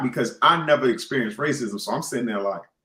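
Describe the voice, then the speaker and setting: A man with a New York accent, medium pitch, a bright, sharp tone, lively intonation and a fairly quick pace. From New York City. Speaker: podcast host. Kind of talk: casual chat.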